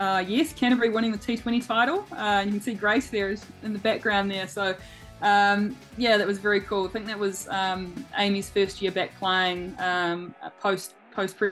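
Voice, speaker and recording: With fairly even intonation, a woman speaks over faint music in the background. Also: moderate pace. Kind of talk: interview answer. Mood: warm, smiling. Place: home room. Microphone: video call.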